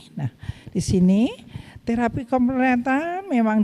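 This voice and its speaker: A woman speaks with a dark, mellow tone. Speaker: midwifery lecturer. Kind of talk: webinar lecture.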